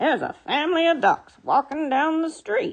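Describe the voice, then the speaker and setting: In a put-on character voice, the speaker uses a high pitch and a moderate pace. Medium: read story.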